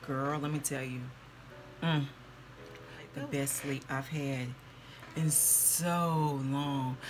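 Over noticeable background noise, a woman speaks at a very slow pace, somewhat breathy, with fairly even intonation. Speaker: beauty vlogger. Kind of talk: casual vlog chat. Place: home room. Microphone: phone near.

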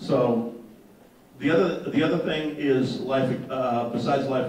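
Audible room echo and light background noise surround a man's voice. He speaks at a moderate pace with ordinary pitch variation. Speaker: local election candidate; election candidate. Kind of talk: campaign speech. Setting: stage with audience. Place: hall.

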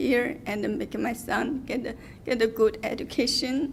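A woman's fairly high voice, with ordinary pitch variation, unfolds at a fairly slow pace. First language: not English. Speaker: public commenter, salon owner. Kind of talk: public comment at hearing. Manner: halting.

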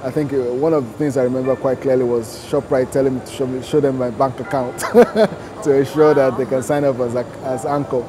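A man at a moderate pace with ordinary pitch variation, against noticeable background noise. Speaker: interviewee. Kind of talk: interview answer. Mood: relaxed, occasional laughs. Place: shop. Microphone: lapel.

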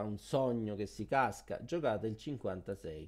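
Recorded very cleanly against a silent background, a man speaks at a very slow pace and medium pitch, with ordinary pitch variation. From Rome. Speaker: YouTuber teaching Italian culture. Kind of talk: video tutorial. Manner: animated.

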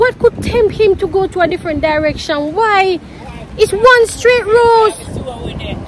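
Lively intonation carries the speech at a fairly slow pace over noticeable background noise. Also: woman. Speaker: travel vlogger. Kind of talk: casual vlog chat. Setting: outdoors. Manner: animated.

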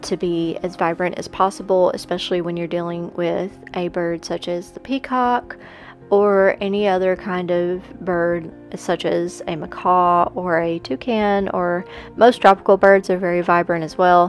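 A woman talks at a moderate pace over background music. Her pitch is fairly low and her intonation fairly even. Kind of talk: casual voice-over narration about painting process.

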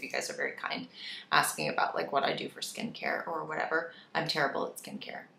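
Speech at a very fast pace carries audible room echo. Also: woman. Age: 30s. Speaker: lifestyle YouTuber. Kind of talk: casual chat. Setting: home office with echo. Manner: animated. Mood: warm, relaxed. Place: office.

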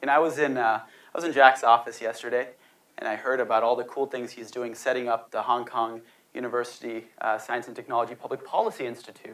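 Delivering his words at a fairly quick pace, a man speaks. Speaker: speaker. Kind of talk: lecture. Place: hall. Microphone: lapel.

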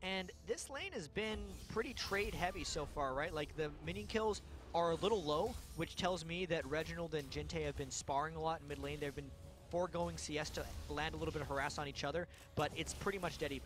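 Over music in the background, a man talks in an upbeat tone at a fairly quick pace. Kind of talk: esports color commentary and analysis. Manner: conversational, explanatory; upbeat, uses sports analogies.

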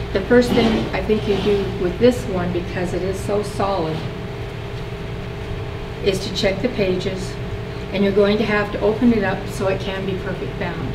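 A woman at a moderate pace, with long, frequent pauses and noticeable background noise. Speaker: workshop instructor. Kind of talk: tutorial. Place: meeting room.

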